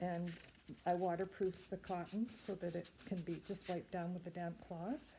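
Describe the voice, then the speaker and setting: Speaking at a moderate pace in a Canadian accent, a woman has a fairly low pitch and fairly even intonation. Her tone is dark, mellow and somewhat breathy. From Canada, Ontario. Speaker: sewing and knitting video host. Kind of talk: casual show-and-tell. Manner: hesitant, many fillers.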